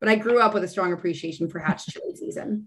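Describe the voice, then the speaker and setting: A woman is speaking. She has a Texan accent. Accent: Texan American. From Texas, San Antonio. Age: 30s. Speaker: chef and reality TV contestant. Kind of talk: casual chat.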